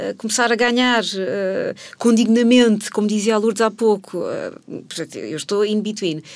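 A woman speaks in a plain, everyday voice, pitched fairly high, with fairly even intonation. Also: moderate pace. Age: 40s. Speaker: person changing careers. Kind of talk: interview.

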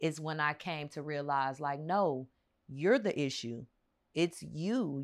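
The recording is very clean, with a silent background. A woman speaks fairly slowly in a very deep, low voice. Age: 30s. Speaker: podcast guest sharing dating story. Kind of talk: casual chat.

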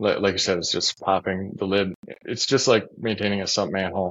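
An ordinary speaking voice from a man with a fairly low pitch, a fairly quick pace and an American accent. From Minnesota. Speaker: stormwater engineer and company CEO. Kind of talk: casual interview.

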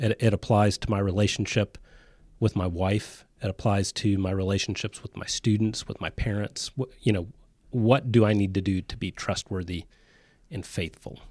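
A man with an unremarkable speaking voice and fairly low pitch at a moderate pace, dry and close with no echo, on a very clean recording with a silent background. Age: 30s. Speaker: university administrator. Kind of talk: interview. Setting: studio.

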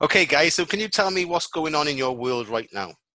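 Speaking with a Welsh accent, a man has a fairly high pitch and lively intonation. His pace is fairly quick. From Wales. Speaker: podcast host. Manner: casual, friendly.

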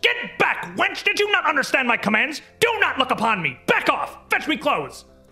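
A man's put-on character voice at an extremely high pitch, with very wide pitch swings and faint music in the background. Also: moderate pace. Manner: screeching, shrill, demanding.

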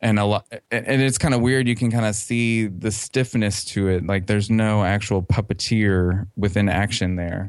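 A man's ordinary speaking voice, fairly low in pitch, at a moderate pace with fairly even intonation and hardly any pauses, against a quiet background. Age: 30s. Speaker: fan website creator. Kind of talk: interview.

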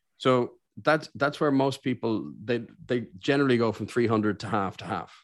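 A man with an Irish accent speaks at a moderate pace. His pitch is medium, with ordinary pitch variation. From Ireland. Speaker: business owner and career coach. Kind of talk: interview. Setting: remote call.

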